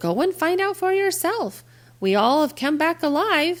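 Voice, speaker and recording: A female-sounding, squeaky put-on character voice at an extremely high pitch, spoken at a moderate pace. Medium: read story.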